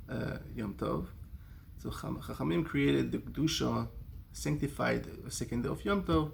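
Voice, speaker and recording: The room gives off an audible echo. A man is talking at a moderate speed. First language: not English (English is his third language). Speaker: kollel scholar giving a Torah talk. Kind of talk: short religious talk. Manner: halting, with fillers and restarts.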